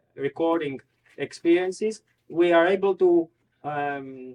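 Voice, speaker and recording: A man with a Greek accent, at a very slow pace. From Greece, Thessaloniki. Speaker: PhD researcher in history. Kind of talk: academic presentation. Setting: cultural society hall with audience. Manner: halting, many fillers.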